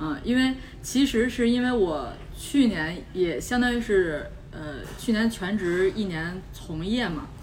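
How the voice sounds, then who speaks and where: Spoken at a very slow pace with lively intonation, the voice comes with audible room echo and noticeable background noise. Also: woman, medium pitch for a woman. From Beijing. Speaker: podcast host. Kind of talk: casual chat.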